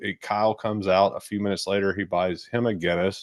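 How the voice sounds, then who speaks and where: With a Kentucky accent, a man talks at a fairly quick pace in a fairly low pitch. His intonation stays fairly even, and the background is quiet. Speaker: travel video host. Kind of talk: casual chat.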